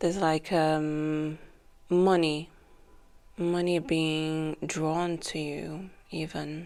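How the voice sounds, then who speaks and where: Very deep and low in pitch, a woman speaks in a monotone, flat voice at a very slow pace with long, frequent pauses. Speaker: tarot reader. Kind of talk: tarot reading. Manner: casual, filler-heavy.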